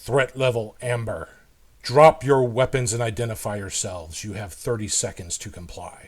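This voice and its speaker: A put-on character voice on a very clean recording with a silent background. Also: man, medium pitch for a man, moderate pace. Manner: robotic.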